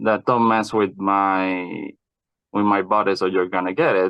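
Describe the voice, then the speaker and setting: A man with a non-native accent talks at a fairly slow pace and a fairly low pitch. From Puerto Rico. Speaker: podcast guest. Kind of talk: interview. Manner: halting.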